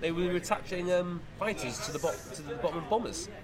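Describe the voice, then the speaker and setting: A man talks at a fairly quick pace in a high pitch. Noticeable background noise sits behind him. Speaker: podcast host. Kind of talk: casual interview chat. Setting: outdoors at air show.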